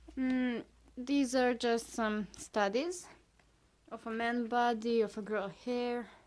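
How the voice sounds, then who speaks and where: A woman with a Serbian accent speaks at a high pitch. Her pace is very slow and her intonation fairly even. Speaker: artist. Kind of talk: casual video talk, sketchbook show-and-tell. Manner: halting, many fillers.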